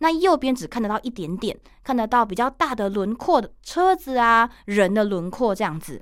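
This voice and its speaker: On a very clean recording with a silent background, a woman with a Taiwanese accent and a fairly high pitch talks at a moderate pace in a cheerful tone. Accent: Taiwanese Mandarin. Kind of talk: casual radio interview. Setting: radio studio. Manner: cheerful, lively, talkative.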